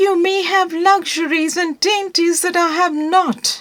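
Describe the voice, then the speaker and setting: A squeaky, female-sounding put-on character voice at an extremely high pitch moves along at a fairly slow pace. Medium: read story. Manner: firm.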